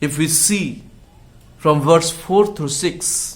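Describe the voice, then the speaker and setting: A somewhat breathy man speaks at a very slow pace. His pitch varies in an ordinary way. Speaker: pastor. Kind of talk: sermon / Bible message. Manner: slow, frequent fillers, switches between English and Hindi.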